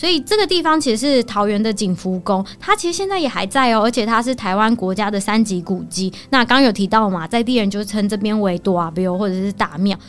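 Noticeable background noise accompanies a woman with a fairly high voice. She talks at a fairly quick pace with lively intonation and hardly any pauses. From Taiwan, Taoyuan. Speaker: local resident sharing travel tips. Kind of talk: casual chat.

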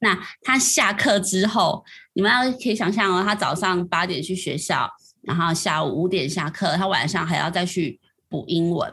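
A woman with a Taiwanese accent speaks at a medium pitch and a moderate pace, her tone bright and sharp and her pitch varying in an ordinary way. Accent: Taiwanese Mandarin. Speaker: education reporter. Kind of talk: casual interview chat.

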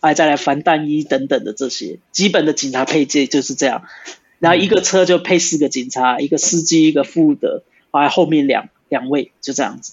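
A man with a slight Brazilian accent speaks at a fairly quick pace and a fairly high pitch, with ordinary pitch variation. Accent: slight Brazilian accent in Mandarin. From Brazil (São Paulo), Brazilian-Taiwanese. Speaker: former soldier and police officer. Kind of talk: casual interview. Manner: halting.

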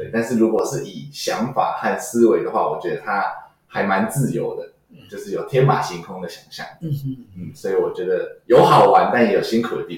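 The speaker's loudness swings widely. Audible room echo fills the recording. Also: man, moderate pace. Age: young. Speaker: comedy performer and circus artist. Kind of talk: casual interview chat. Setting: studio.

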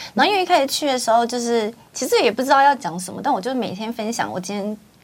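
A woman speaking very fast in a fairly high pitch with lively intonation, over noticeable background noise. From Taiwan, Kaohsiung. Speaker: livestream host. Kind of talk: casual chat interview. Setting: studio. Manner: animated.

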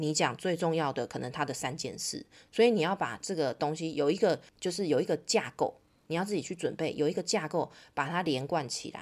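A woman's fairly low-pitched voice, animated in tone, with lively intonation and a fairly quick pace. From Taiwan. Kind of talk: interview. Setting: remote call.

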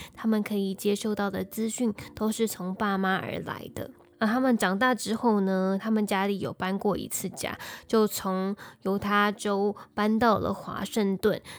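A woman's medium-pitched voice with a Taiwanese accent, flat and monotone, fairly slow, on a very clean recording with a silent background. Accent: Taiwanese Mandarin. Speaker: true crime podcast host. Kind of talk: storytelling narration.

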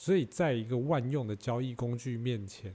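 A man with a dark, mellow, somewhat breathy tone speaks at a moderate pace with ordinary pitch variation. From Taiwan. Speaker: podcaster. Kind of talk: casual chat. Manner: animated.

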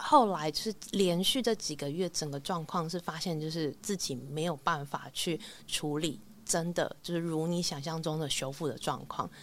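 This woman has a normal speaking voice. Her pitch is fairly low. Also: ordinary pitch variation, moderate pace. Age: 30s. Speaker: band musician. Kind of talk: casual interview chat.

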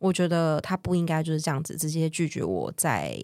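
Someone speaks at a fairly quick pace with a Taiwanese accent on a very clean recording with a silent background. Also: woman. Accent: Taiwanese Mandarin. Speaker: world traveler sharing her story. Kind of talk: casual interview chat.

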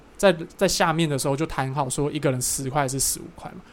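A man speaks at a moderate pace as noticeable background noise runs underneath. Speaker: podcast co-host. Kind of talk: casual chat.

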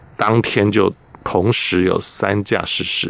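Noticeable background noise sits behind a man's voice. He speaks at a fairly low pitch with ordinary pitch variation. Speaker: journalist, former air force maintenance technician. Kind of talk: radio interview.

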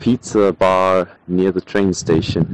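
A man speaks in a fairly low pitch with a German accent. The sound is dry and close, without echo. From Hamburg, Germany. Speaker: law student. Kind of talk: recorded voice message.

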